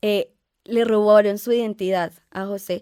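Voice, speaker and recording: On a very clean recording with a silent background, a woman with a medium pitch and a dark, mellow tone sounds dry and close, with no echo. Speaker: podcast guest. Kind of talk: casual chat. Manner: halting.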